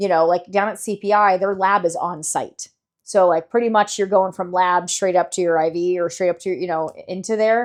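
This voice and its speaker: A normal speaking voice from a woman with an American accent, medium-pitched and fairly even in intonation, against a quiet background. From Las Vegas, US. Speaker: stem cell charity founder. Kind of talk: podcast interview. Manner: casual, chatty.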